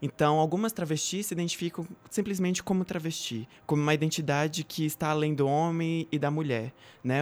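Speaking fairly quickly, a man with an unremarkable speaking voice and fairly high pitch uses ordinary pitch variation on a very clean recording with a silent background. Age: 20s. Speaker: activist, actress and law student. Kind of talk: casual chat.

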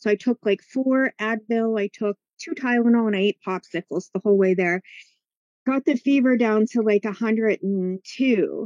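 An unremarkable speaking voice from a woman, fairly high in pitch with ordinary pitch variation and a fairly slow pace, in a dry, close sound with no echo. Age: 50s. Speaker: healer and teacher. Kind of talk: testimony.

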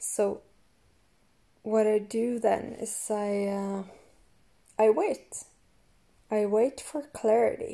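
At a very slow pace with long, frequent pauses, a woman speaks in a dark, mellow tone at a fairly high pitch with fairly even intonation. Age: 20s. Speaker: podcast host and coach. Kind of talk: casual monologue.

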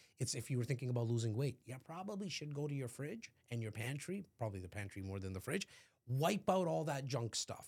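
Somewhat breathy and animated, a man talks at a fairly quick pace. His pitch swings very widely. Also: medium pitch for a man. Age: 40s. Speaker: real estate entrepreneur. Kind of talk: casual chat.

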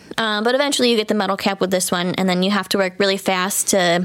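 A woman with a plain, everyday voice and fairly even intonation. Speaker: podcast co-host. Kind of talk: casual chat.

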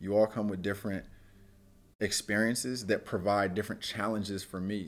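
A man speaks in a West Coast accent at a fairly low pitch. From Oakland, California. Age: 30s. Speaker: university athlete development director. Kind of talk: interview.

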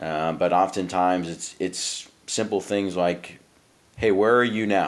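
A man speaks with a very deep, low pitch at a moderate pace. His intonation is monotone and flat. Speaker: naval officer and leadership coach. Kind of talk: casual chat. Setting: remote call.

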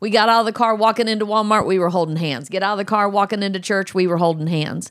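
With ordinary pitch variation, a woman talks at a very fast pace. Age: 60s. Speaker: host's mother, recently widowed. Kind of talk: casual interview conversation.

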